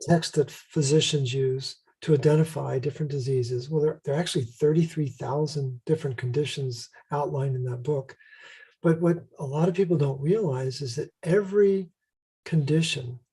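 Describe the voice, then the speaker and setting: A man's fairly high, somewhat breathy voice with a dark, mellow tone at a moderate pace. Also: ordinary pitch variation. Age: 60s. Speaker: health protocol creator and author. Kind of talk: interview.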